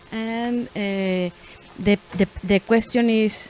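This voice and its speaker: With a Spanish accent, a woman speaks very slowly at a fairly high pitch, her intonation fairly even. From Mexico, Nuevo León. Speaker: artist and art teacher, panel moderator. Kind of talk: panel moderation. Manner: halting, many fillers and restarts.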